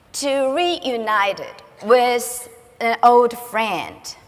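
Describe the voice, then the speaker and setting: Speaking in a Chinese accent, a woman uses a high pitch. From China. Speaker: school director. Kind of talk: conference speech. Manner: halting.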